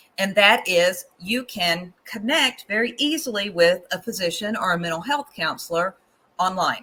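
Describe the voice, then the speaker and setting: A woman of medium pitch speaks with very wide pitch swings. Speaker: professor. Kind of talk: webinar presentation. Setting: live online stream. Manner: animated.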